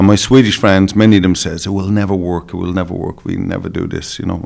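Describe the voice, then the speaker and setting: A man with an Irish accent speaks in a very deep, low voice with monotone, flat intonation. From Ireland. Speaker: dog show judge and breeder. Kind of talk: podcast interview.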